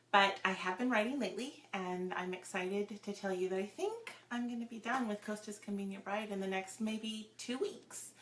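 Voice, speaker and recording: A woman of medium pitch speaks at a moderate pace with hardly any pauses. Her intonation is fairly even, and background noise is noticeable. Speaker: romance novelist. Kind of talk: casual live-stream chat. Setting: home office, live video.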